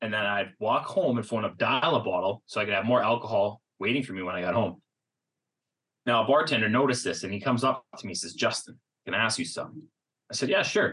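Using a Canadian accent, a man talks at a very fast pace in a bright, sharp tone with ordinary pitch variation. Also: medium pitch for a man. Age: 30s. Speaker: mental health advocate and speaker. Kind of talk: interview.

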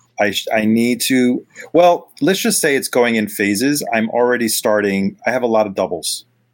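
With lively intonation and a moderate pace, a man speaks at medium pitch in an ordinary speaking voice. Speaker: vinyl collector guest.

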